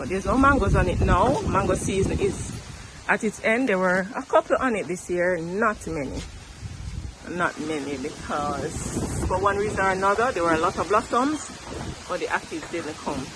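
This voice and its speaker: A woman's pitch swings very widely as noticeable background noise continues underneath. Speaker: gardening vlogger. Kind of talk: casual garden tour vlog. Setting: outdoors in backyard garden. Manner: fast; enthusiastic.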